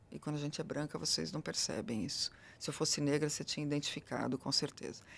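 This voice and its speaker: A woman with a very deep, low pitch and vocal fry talks at a very fast pace with lively intonation. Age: middle-aged. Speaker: diversity consultant. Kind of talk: interview conversation. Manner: animated.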